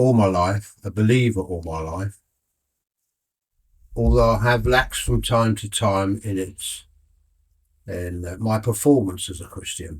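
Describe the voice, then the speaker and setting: In a very clean recording with a silent background, a man with a British accent and fairly low pitch sounds somewhat breathy, his intonation lively, his loudness swinging widely and his speech broken by long, frequent pauses. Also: fairly slow pace. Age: 80s+. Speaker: retired airline worker. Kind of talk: interview.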